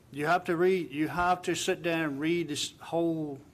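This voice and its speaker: A man talks at a moderate pace, and audible room echo can be heard. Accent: Virginia. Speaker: town council member. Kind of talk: council meeting remarks. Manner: soft-spoken.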